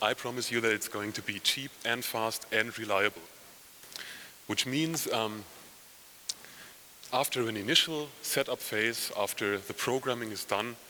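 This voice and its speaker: Over noticeable background noise, a man with a German accent and a medium pitch speaks at a moderate pace with ordinary pitch variation and long, frequent pauses. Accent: non-native English, German. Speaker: software company head, conference speaker. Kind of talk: conference talk. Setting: conference session with audience.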